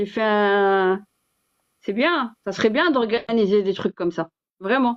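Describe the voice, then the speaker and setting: Very slow speech from a woman, fairly high in pitch. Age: 50s. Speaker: live stream host on Islamic topics. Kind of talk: casual live chat. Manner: hesitant, many fillers and repetitions.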